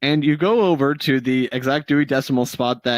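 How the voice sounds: The speaker reads in a natural reading voice, with ordinary pitch variation throughout.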